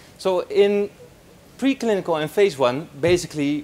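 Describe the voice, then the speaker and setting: A man's pitch swings very widely as clearly audible background noise plays behind him. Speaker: postdoctoral researcher. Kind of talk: conference talk. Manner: fast; halting.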